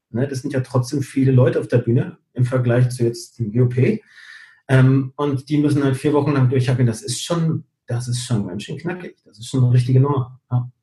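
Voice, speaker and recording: Somewhat breathy, a man speaks at a moderate pace and medium pitch with a dark, mellow tone. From Canary Islands (Gran Canaria), Spain. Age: 40s. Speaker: show director and entertainer. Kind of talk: interview.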